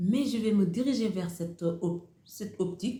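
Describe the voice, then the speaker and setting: Somewhat breathy and dark, mellow in tone, a woman speaks with a Senegalese accent and ordinary pitch variation. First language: Wolof (speaking French). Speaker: YouTuber, motivational speaker. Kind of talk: motivational talk to camera. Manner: repetitive, hesitant phrasing.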